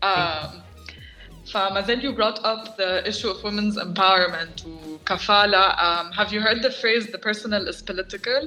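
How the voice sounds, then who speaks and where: With music in the background, a woman talks at a moderate pace and medium pitch with ordinary pitch variation. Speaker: podcast host. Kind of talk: podcast host conversation.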